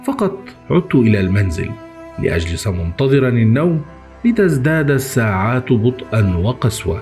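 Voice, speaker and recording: A man with an Egyptian accent speaks at medium pitch and a very slow pace, his pitch swinging very widely. Music plays in the background. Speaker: horror story narrator. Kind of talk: horror story reading.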